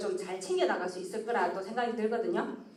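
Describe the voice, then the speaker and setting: Fairly high-pitched woman at a fairly quick pace, lively intonation, audible room echo and noticeable background noise. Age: 50s. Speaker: network marketing presenter. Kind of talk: sales presentation. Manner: fast.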